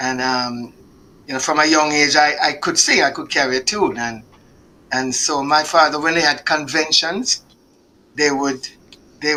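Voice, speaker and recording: A fairly high-pitched man with a Jamaican accent, fairly slow pace and fairly even intonation. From Jamaica, Kingston. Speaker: singer. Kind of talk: interview. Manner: halting.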